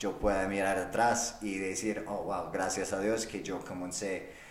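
Very slow speech from a man with a non-native accent at a fairly low pitch, with audible room echo and noticeable background noise. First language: not Spanish (speaking Spanish). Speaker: podcast host. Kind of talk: solo monologue. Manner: halting.

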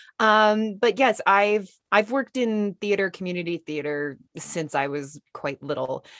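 Lively intonation from a woman at medium pitch, fairly slow yet with hardly any pauses, in a dry, close sound with no echo. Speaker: dietitian and media nutrition expert. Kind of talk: casual interview chat.

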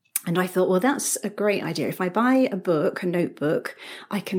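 In a British accent, a woman speaks with lively intonation. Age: 40s. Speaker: paper crafter. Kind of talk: casual chat.

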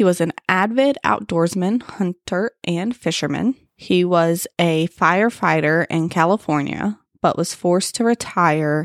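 A woman with a fairly low pitch and an ordinary speaking voice talks at a fairly slow pace with lively intonation and very even loudness. The recording is very clean with a silent background and a dry, close sound with no echo. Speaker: podcast co-host telling true crime story. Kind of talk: true crime storytelling, casual banter with swearing. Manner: casual, sarcastic, profane, joking.

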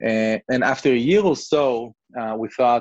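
In a dry, close sound with no echo, a man with an Israeli accent speaks at a moderate pace. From southern Israel. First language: Hebrew. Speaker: real estate investment CEO. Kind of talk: interview. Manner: hesitant, many fillers.

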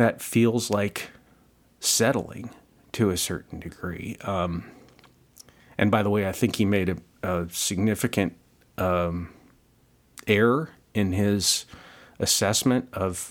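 A man's fairly low voice at a very slow pace, with ordinary pitch variation and long, frequent pauses. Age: 50s. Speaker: podcast host. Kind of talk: solo podcast monologue. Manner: halting with many fillers.

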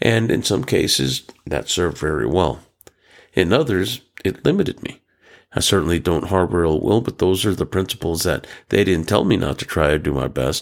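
Vocal fry runs through a man's voice. He talks at a fairly quick pace with lively intonation. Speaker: psychologist and podcast host. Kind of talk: solo monologue. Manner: reflective, slightly hesitant.

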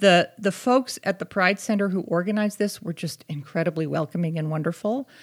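A plain, everyday voice with an American accent, a fairly quick pace and ordinary pitch variation, on a very clean recording with a silent background. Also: woman, medium pitch for a woman. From US Northeast, Boston area. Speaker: English teacher and advocacy co-founder. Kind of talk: casual chat.

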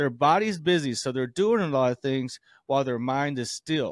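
At a moderate pace, an unremarkable speaking voice with an American accent and ordinary pitch variation comes through a dry, close, echo-free, very clean recording with a silent background. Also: man. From US South. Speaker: doctor and podcast co-host. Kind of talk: casual chat.

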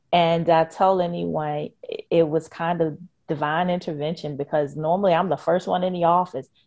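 In an ordinary speaking voice, a woman talks with a fairly low pitch and fairly even intonation over a quiet background. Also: moderate pace. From Richmond, Virginia. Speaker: nonprofit education leader. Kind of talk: interview.

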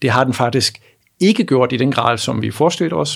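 Fairly quick speech from a man at a medium pitch. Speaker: economics professor. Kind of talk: interview. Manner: halting, many repetitions.

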